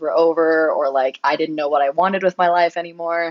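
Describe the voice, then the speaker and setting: A woman with a plain, everyday voice and an American accent speaks at a moderate pace with ordinary pitch variation. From US, Colorado. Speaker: pro cyclist. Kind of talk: interview. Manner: casual, filler-heavy.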